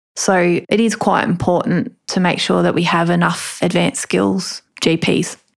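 A woman with an Australian accent talks at a fairly slow pace, with hardly any pauses. Her loudness stays very even throughout. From Australia, Melbourne northern suburbs. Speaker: rural doctor. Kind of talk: interview.

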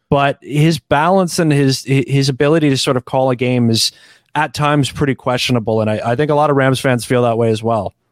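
In a normal speaking voice, a man with a Canadian accent talks at a medium pitch and fairly quick pace, with ordinary pitch variation and very even loudness, in a very clean recording with a silent background and a dry, close sound with no echo. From Canada. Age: 30s. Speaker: podcaster and football analyst. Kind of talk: casual chat.

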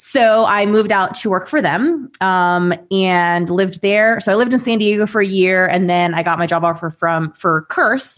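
Ordinary pitch variation in an American accent. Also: woman. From Ohio, US Midwest. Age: 30s. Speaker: esports host and content creator. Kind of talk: casual chat.

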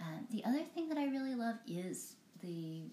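A woman at a moderate pace with very wide pitch swings, amid audible room echo and noticeable background noise. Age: 40s. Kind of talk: casual interview.

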